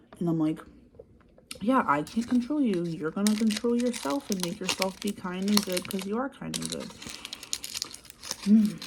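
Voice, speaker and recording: Soft-spoken talk at a moderate pace, with long, frequent pauses, ordinary pitch variation and noticeable background noise. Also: woman, medium pitch for a woman. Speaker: childcare worker. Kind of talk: ASMR soft-spoken ramble to camera. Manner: soft-spoken, quiet.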